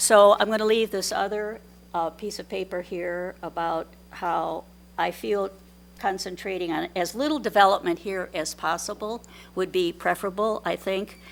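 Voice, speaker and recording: A woman talks at a moderate pace and medium pitch with ordinary pitch variation. The recording is very clean, with a silent background. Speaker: public commenter. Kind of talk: public comment at hearing. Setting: public meeting room. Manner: loud; halting.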